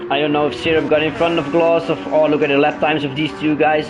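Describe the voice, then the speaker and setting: A man speaks at a fairly quick pace in a fairly high pitch, with audible room echo and music playing in the background. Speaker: sim racing commentator and driver. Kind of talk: casual chat; live race commentary. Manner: stutters; animated.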